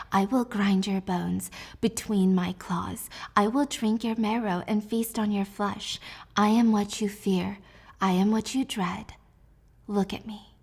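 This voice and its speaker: A woman puts on a breathy character voice at a medium pitch. She speaks fairly slowly in a very clean recording with a silent background. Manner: menacing, threatening.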